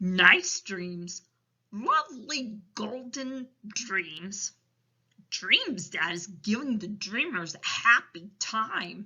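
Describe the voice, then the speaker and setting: A woman puts on a character voice at a medium pitch. She speaks at a very slow pace. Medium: read story. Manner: ungrammatical, quirky folksy speech.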